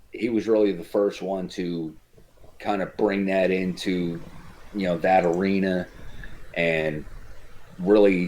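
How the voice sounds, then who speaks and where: A man with a New Jersey accent speaks very slowly at a very deep, low pitch, flat and monotone, with long, frequent pauses. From New Jersey, Cape May County. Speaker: former MMA fighter. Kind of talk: casual chat.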